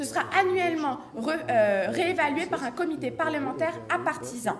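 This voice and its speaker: A woman speaks at a fairly slow pace with extremely high pitch and lively intonation, over noticeable background noise and audible room echo. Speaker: student debater. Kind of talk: competitive debate speech. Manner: formal; halting, frequent self-corrections.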